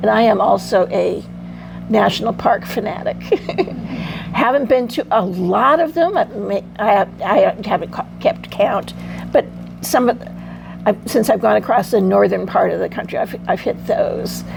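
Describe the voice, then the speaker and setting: A woman at a moderate pace with long, frequent pauses, over noticeable background noise. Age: 70s. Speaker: van camper at a women's meetup. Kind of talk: casual chat. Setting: group meetup.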